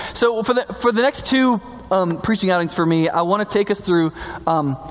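A high-pitched man with lively intonation over noticeable background noise. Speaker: pastor. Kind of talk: sermon. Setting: church. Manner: fast talker, mumbles words.

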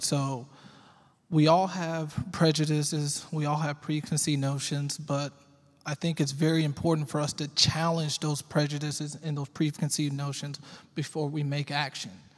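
A man with an American accent, fairly high pitch and a somewhat breathy voice. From Texas, Arlington. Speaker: juvenile probation officer. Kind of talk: panel discussion.

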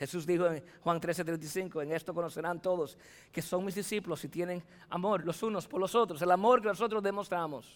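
On a very clean recording with a silent background, a man speaks at a high pitch. His pace is fairly quick, with ordinary pitch variation. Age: 40s. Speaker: pastor. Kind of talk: sermon. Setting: church.

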